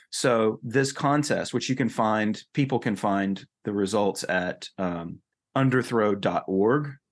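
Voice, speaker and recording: Set against a quiet background, the voice carries an American accent and ordinary pitch variation. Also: man. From North Carolina. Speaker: author and political writer. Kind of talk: podcast interview.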